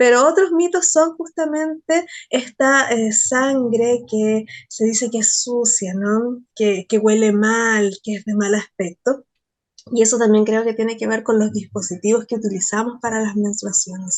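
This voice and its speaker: An ordinary speaking voice from a woman, fairly high in pitch, at a fairly slow pace with ordinary pitch variation. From Chile. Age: 40s. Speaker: poet and researcher. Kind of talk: interview conversation.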